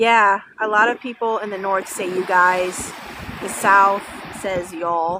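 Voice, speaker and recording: A woman speaks at a fairly slow pace with a northern US accent, her pitch medium. Her intonation is monotone and flat, with noticeable background noise. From Illinois, Sycamore (west of Chicago). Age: 30s. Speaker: livestreamer. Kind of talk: casual chat.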